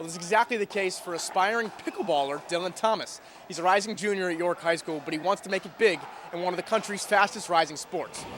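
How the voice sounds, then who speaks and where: Over noticeable background noise, a man with a high voice speaks very fast with fairly even intonation. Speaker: sports reporter. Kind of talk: news reading.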